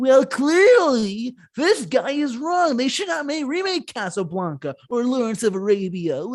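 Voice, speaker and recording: A put-on character voice runs at a moderate pace with hardly any pauses. Its pitch is fairly high and swings very widely. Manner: arrogant.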